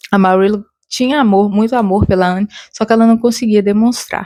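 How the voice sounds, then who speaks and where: Her dark, mellow tone at medium pitch carries fairly even intonation as the woman speaks at a fairly slow pace. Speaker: book reviewer. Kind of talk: casual talk to camera.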